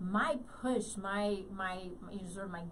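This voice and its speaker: A woman with a somewhat breathy, medium-pitched voice and ordinary pitch variation talks in a room with audible echo. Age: 50s. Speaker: radio host. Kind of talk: interview.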